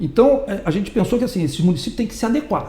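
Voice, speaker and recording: A man talks with noticeable background noise and audible room echo around him. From Brazil, Rio de Janeiro. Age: 60s. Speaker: political candidate. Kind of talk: interview.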